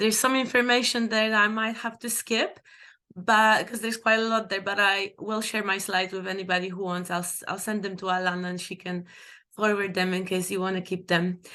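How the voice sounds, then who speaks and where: A woman's medium-pitched, bright and sharp voice with a non-native accent, monotone and flat, over a quiet background. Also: fairly quick pace. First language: not English. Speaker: documentary filmmaker. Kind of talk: panel presentation.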